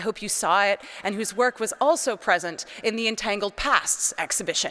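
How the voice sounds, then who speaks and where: A woman speaks in a Canadian accent at a medium pitch, her tone bright and sharp. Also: ordinary pitch variation, moderate pace. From Canada, British Columbia. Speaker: priest and art historian. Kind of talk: lecture. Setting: cathedral with audience. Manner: loud.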